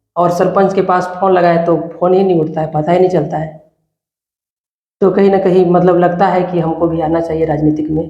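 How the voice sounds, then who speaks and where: The tone is dark and mellow. Delivery comes at a moderate pace with monotone, flat intonation. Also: man, high pitch for a man. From India, Chhattisgarh (Balrampur district). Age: 20s. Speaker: village election candidate, student. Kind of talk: interview. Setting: studio.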